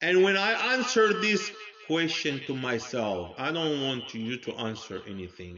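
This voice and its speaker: A loud man at a fairly slow pace, with very wide pitch swings and noticeable background noise. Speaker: religious commentator. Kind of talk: monologue. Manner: loud and clear.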